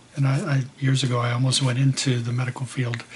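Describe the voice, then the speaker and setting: Over noticeable background noise, a man talks at a fairly quick pace in a flat, monotone delivery. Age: 60s. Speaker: vlogger. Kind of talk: personal video diary. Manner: hesitant, with fillers.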